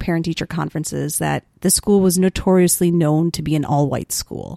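A woman speaks with a Chicago accent, recorded dry and close with no echo. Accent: Chicago-area American. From US Midwest, Wheeling, Illinois (Chicago suburbs). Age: 20s. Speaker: high school teacher. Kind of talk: casual chat. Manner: animated.

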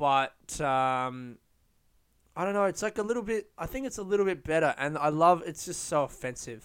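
Speaking in an Australian accent at a moderate pace, a man with a fairly high pitch sounds animated, his intonation lively, on a very clean recording with a silent background. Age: 20s. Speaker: solo podcaster. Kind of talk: casual monologue.

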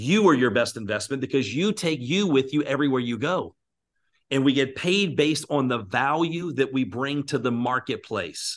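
In an American accent, a man with an ordinary speaking voice talks at a medium pitch and moderate pace with lively intonation against a quiet background. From Virginia, US. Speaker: business mentor and speaker. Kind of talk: interview.

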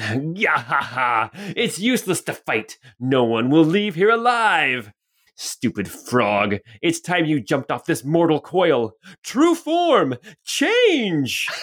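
A man puts on a menacing character voice at a fairly high pitch, cackling as he goes. He speaks at a fairly slow pace. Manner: gloating, menacing, cackling.

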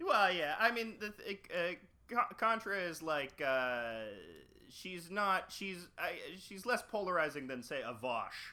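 A man's raised, projected, high-pitched voice with a bright, sharp tone, very wide pitch swings, big swings in loudness and a fairly slow pace. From Canada. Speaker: podcaster and cartoonist. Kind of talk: casual chat.

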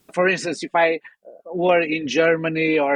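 A man with a fairly high voice and a Portuguese accent talks at a fairly slow pace in a dry, close sound with no echo. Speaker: audio software company founder. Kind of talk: interview.

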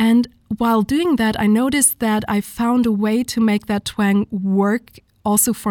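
A woman with a German accent, a fairly high pitch, a dark, mellow tone and ordinary pitch variation, dry and close with no echo on a very clean recording with a silent background. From southern Germany (Munich). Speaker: singer. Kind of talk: interview.

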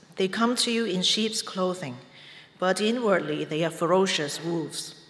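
Noticeable background noise runs behind a woman speaking. She goes at a fairly slow pace with ordinary pitch variation. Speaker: scripture reader. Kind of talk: reading aloud. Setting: church.

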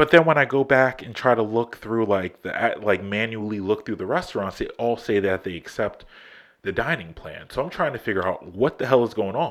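On a very clean recording with a silent background, a man with an ordinary speaking voice and a medium pitch talks at a fairly quick pace with lively intonation. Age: 30s. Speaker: podcast host. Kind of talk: casual monologue. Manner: casual, filler-heavy.

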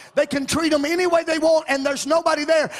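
A man speaks at an extremely high pitch in an Arkansas accent. Noticeable background noise is present. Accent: Southern US (Arkansas). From Arkansas, US South. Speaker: visiting preacher. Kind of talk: sermon. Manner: animated.

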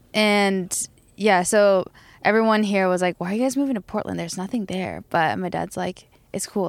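The recording is very clean, with a silent background. A woman with an American accent talks very fast at medium pitch with fairly even intonation. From Tokyo, Japan and US. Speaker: band member and DJ. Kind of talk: casual interview chat.

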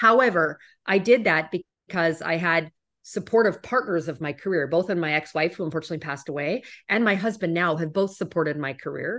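With a Canadian accent, a woman talks in a plain, everyday voice at a fairly quick pace, her fairly low pitch rising and falling in an ordinary way against a quiet background. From Canada. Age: 40s. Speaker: corporate executive. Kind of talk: interview.

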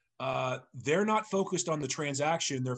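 With lively intonation, a man speaks in an American accent. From eastern Massachusetts (Sharon). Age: 50s. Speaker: real estate agent trainer and investor. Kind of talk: casual interview.

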